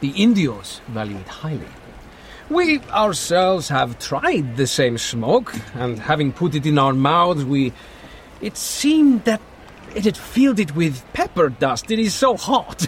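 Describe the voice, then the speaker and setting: Putting on a growling character voice, a man speaks fairly slowly at a fairly high pitch with very wide pitch swings over clear background noise. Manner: snarly charm, laughing.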